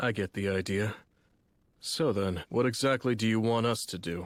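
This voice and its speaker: A cartoonish character voice at a moderate pace shows ordinary pitch variation on a very clean recording, silent background. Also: man, medium pitch for a man. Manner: blunt, matter-of-fact.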